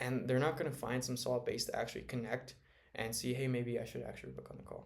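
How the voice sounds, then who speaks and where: Soft-spoken at a very fast pace, a man talks amid audible room echo. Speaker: sales automation consultant. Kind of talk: casual talk to camera. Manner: halting.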